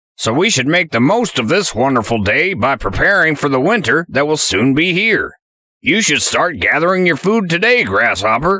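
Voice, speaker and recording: A man's put-on character voice, fairly high-pitched for a man. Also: moderate pace. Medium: read story. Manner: earnest, gracious.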